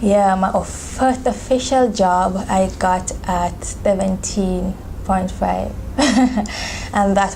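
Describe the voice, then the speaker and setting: Noticeable background noise fills the recording. Over it, a woman talks with fairly even intonation. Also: very even loudness. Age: young. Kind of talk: interview answer.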